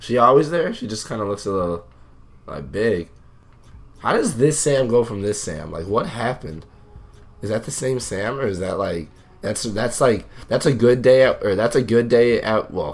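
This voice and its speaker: A man's medium-pitched voice at a moderate pace, with long, frequent pauses and music in the background. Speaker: gaming YouTuber. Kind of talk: casual gameplay commentary.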